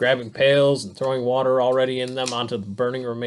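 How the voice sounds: The recording has a natural reading voice.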